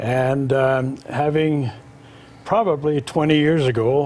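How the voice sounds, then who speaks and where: Flat, monotone male speech at a medium pitch. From Norway. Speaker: charity founder. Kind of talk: TV interview. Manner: halting, many fillers.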